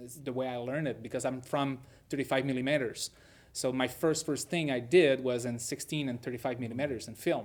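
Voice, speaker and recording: A man with a French Canadian accent speaks at a medium pitch. His intonation is fairly even, and the recording is very clean with a silent background. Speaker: film director. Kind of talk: interview. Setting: film festival. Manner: halting, with many repetitions.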